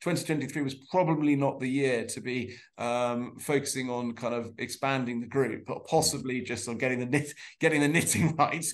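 Here a man speaks at a medium pitch and a moderate pace. His pitch varies in an ordinary way.

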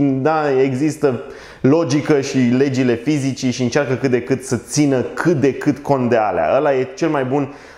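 In a quiet background with audible room echo, a man speaks with fairly even intonation. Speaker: film reviewer. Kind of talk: film review commentary. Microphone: lapel.

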